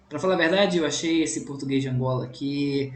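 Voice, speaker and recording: Medium-pitched male voice with ordinary pitch variation and audible room echo. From Brazil, Minas Gerais. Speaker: language teacher, YouTuber. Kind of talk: reaction video. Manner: casual, conversational.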